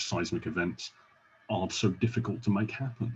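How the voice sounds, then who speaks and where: Speaking with a British accent, a man has a fairly low pitch and ordinary pitch variation. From UK. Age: 40s. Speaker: podcast host. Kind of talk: casual interview chat.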